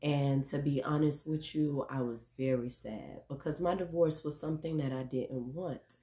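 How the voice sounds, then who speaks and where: Against a quiet background, a woman speaks with a very deep, low pitch and fairly even intonation. Her pace is moderate, with hardly any pauses. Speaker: vlogger. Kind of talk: casual vlog monologue. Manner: rambling, filler words. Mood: reflective, candid about hurt. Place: home room. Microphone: phone near.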